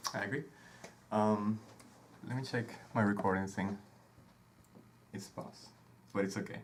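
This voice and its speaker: A fairly low-pitched man's voice against noticeable background noise. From Venezuela. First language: Spanish. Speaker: podcast host, conductor. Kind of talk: casual chat. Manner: hesitant, many filler sounds.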